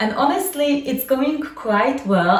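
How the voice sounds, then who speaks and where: Over noticeable background noise and audible room echo, a woman with a Polish accent speaks at a moderate pace with lively intonation. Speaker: lifestyle vlogger. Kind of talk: casual vlog monologue.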